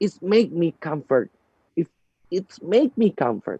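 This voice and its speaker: Heard in a dry, close sound with no echo, a man with an Indonesian accent speaks at a fairly slow pace in a high, dark, mellow voice with very wide pitch swings. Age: 30s. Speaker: network marketing leader. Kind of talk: seminar talk. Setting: video call.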